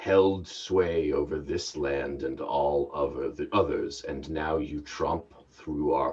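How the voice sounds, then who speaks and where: Putting on a booming character voice, a man speaks at a fairly slow pace with a very deep, low pitch. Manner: booming, imposing.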